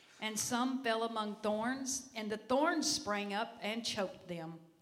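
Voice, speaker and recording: A woman with a fairly high pitch speaks at a fairly slow pace over noticeable background noise. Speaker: church member. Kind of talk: reading aloud scripture. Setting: church.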